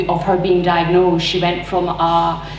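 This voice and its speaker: Light background noise and audible room echo around a woman's speech. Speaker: speaker. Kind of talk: personal talk to audience. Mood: earnest, personal. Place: hall. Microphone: camera far.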